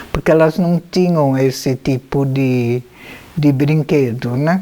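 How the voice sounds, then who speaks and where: Over noticeable background noise, a woman speaks very slowly in a very deep, low pitch with ordinary pitch variation. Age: 80s+. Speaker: anthroposophic physician. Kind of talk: biographical memoir talk. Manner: intimate, familiar.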